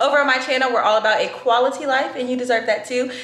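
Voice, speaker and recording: A woman talks at a very fast pace with a high pitch and ordinary pitch variation. Audible room echo surrounds her voice. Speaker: lifestyle vlogger. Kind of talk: casual vlog chat. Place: kitchen. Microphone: phone near.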